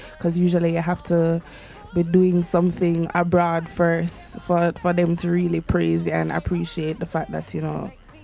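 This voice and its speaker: Moderate pace, dry sound with no echo, and faint music in the background. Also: woman. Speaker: interviewee. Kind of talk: interview answer. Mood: relaxed, reflective. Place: studio. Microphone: handheld.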